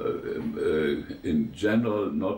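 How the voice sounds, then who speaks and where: A somewhat breathy man's voice at a very slow pace, with audible room echo. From eastern Germany. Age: 90s. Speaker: war veteran. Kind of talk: interview. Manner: halting, many fillers.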